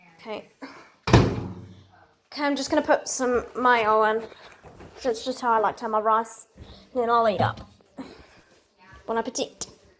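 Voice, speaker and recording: A quiet woman's voice, fairly high in pitch, at a moderate pace with fairly even intonation and long, frequent pauses. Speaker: laundry video maker. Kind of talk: casual vlog narration. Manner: quiet, keeping voice down; halting, repeats words.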